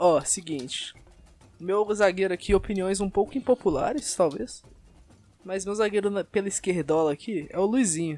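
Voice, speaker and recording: A man speaks with a Brazilian accent at a high pitch. His pace is moderate and his pitch varies in an ordinary way. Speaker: podcast host. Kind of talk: casual chat.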